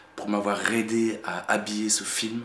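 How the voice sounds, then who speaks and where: A man with a fairly low voice speaks in a room with audible echo and noticeable background noise. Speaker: independent filmmaker. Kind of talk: casual video message to supporters. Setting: at home in apartment. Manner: soft-spoken; halting, many fillers.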